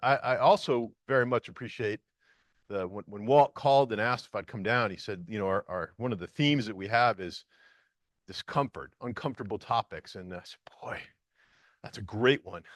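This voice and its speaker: Over a quiet background, a man speaks at a fairly quick pace in a medium pitch with ordinary pitch variation. His loudness swings widely, and the sound is dry and close with no echo. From northern US. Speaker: EMS leader, public safety official. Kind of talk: conference talk. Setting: stage with audience. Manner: fast; halting, many fillers.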